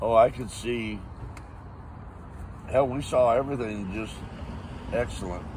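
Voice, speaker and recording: A man at a medium pitch speaks with fairly even intonation amid noticeable background noise and audible room echo. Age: 70s. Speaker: eyewitness, Vietnam veteran. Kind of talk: interview testimony. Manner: casual, colloquial.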